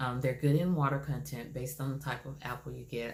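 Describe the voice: A woman speaks at an extremely low pitch. Her tone is slightly mellow.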